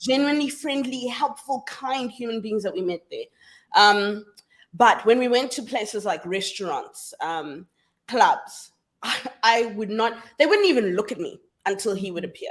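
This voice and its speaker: A woman with a South African accent speaks at a fairly high pitch and moderate pace, her tone animated, her intonation lively and her loudness swinging widely. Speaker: feminist scholar and activist. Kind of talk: casual interview chat.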